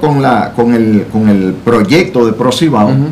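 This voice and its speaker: A man speaks at a medium pitch with light background noise. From Dominican Republic, Santiago (Cibao). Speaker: business chamber executive. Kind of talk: interview. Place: studio. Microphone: studio mic.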